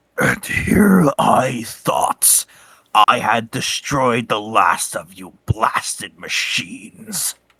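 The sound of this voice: Putting on a raspy character voice, a man speaks at a very slow pace and a medium pitch.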